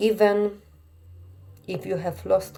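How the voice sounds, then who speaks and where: A woman speaks with a Polish accent. Her pace is very slow. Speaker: therapist or coach for alienated parents. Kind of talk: podcast monologue. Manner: earnest, repetitive emphasis.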